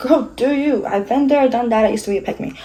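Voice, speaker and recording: A woman speaks in a dark, mellow tone that is somewhat breathy. Her pitch varies in an ordinary way. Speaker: beauty vlogger. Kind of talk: casual chat. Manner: fast; stumbling over words.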